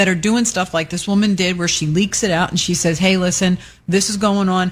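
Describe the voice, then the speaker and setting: A woman speaks at a fairly quick pace. Her pitch sits in the medium range. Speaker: radio co-host. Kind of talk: casual chat. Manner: loud.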